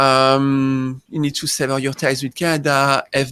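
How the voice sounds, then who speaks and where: The voice has a French accent and a bright, sharp tone with monotone, flat intonation. The sound is dry and close, with no echo. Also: man. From France. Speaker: tax accountant. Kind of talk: interview.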